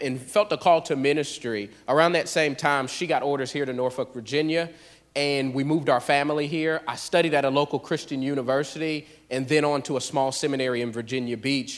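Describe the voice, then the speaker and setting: A man with an American accent speaks at a fairly high pitch for a man and a fairly quick pace. His intonation is fairly even, and his is an unremarkable speaking voice. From US South, Pensacola, Florida. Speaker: church planter, pastor. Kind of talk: church testimony. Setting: church.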